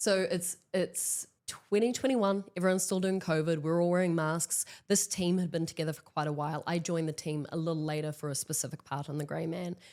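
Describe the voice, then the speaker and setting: Fairly quick speech from a woman in a New Zealand accent, fairly low-pitched with ordinary pitch variation and hardly any pauses, on a very clean recording with a silent background. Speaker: actress and stunt performer. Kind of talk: interview, casual chat. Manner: loud.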